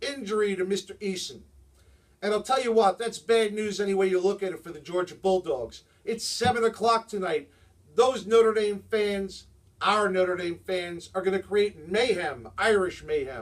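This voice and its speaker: A man speaks with a New Jersey accent, his voice pitched high. His pace is moderate. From New Jersey, Jersey City. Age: 50s. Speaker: sports vlogger. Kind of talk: sports commentary monologue. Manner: animated.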